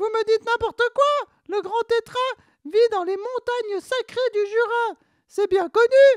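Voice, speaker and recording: A female-sounding put-on character voice comes through squeaky and at an extremely high pitch. It moves at a fairly slow pace. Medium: short film. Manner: eager, chatty.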